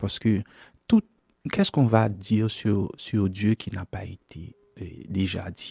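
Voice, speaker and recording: With a Haitian accent and a fairly low pitch, a man speaks at a very slow pace in a somewhat breathy voice, the sound dry and close with no echo. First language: Haitian Creole (speaking French). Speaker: gospel songwriter and singer. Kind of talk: radio interview. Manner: halting, many hesitations.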